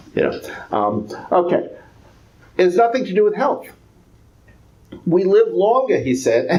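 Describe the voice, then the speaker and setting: With audible room echo, a man with an American accent talks at a fairly slow pace, leaving long, frequent pauses. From New York. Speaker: economics professor. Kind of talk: lecture. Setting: public talk with audience.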